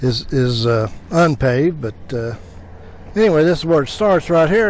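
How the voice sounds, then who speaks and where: Over noticeable background noise, a man with an American accent speaks fairly slowly in a fairly high voice, his pitch swinging very widely. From US Midwest, southern Illinois. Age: 70s. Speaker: motorcycle adventure vlogger. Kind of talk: on-location vlog; video narration. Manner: hesitant, many fillers.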